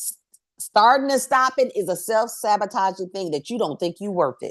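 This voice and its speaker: Loud and animated, a woman with a fairly high pitch and lively intonation talks at a moderate pace while music plays in the background. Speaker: workshop facilitator. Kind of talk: workshop talk. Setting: livestream.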